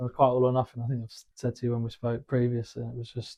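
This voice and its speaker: A man talks at a very fast pace. He has a southern English accent. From southern England. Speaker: former footballer turned wealth manager. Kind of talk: interview. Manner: hesitant, many fillers.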